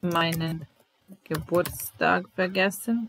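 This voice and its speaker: A fairly low-pitched woman's voice with a Serbian accent, dry with no echo, over light background noise. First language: Serbian (speaking German). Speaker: German language teacher. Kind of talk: language lesson. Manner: slow, repetitive. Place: home room. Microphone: webcam.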